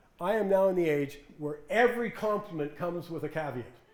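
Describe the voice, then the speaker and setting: This man's voice sits high in pitch. Noticeable background noise and audible room echo fill the recording. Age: 70s. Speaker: financial commentator. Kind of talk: talk with audience Q&A. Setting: stage with audience. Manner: animated.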